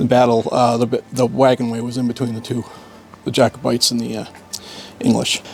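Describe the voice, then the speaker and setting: A man with an American accent speaks at a medium pitch in a monotone, flat intonation and at a fairly quick pace, with long, frequent pauses. Music plays in the background. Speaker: archaeology PhD student. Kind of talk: casual interview at a dig.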